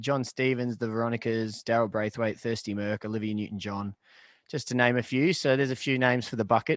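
A man speaks at a medium pitch. He has an Australian accent. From Australia, Shepparton, Victoria. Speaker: pub band musician. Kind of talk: casual chat.

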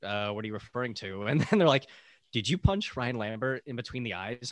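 A man with a normal speaking voice talks at a fairly quick pace, with medium pitch and lively intonation. The sound is dry and close with no echo, a very clean recording with a silent background. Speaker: podcast co-host. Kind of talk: casual chat.

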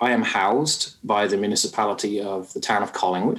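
With a British accent, the speech moves along at a moderate pace. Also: man. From United Kingdom. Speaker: small business advisor. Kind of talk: interview.

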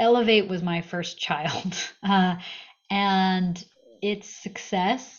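A woman with an American accent speaks at medium pitch, somewhat breathy. Her intonation is fairly even. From US Northeast, Massachusetts. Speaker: startup founder. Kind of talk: interview.

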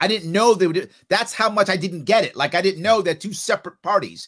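With a New York accent, a man speaks at a high pitch with ordinary pitch variation in a very clean recording with a silent background. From New York City area. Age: 50s. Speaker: political candidate. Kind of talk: interview. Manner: animated.

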